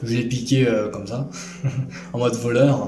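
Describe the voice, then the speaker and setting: Music in the background, audible room echo, and a man talking at a moderate pace. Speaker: gaming YouTuber. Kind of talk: casual game collection presentation. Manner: loud; hesitant, many fillers.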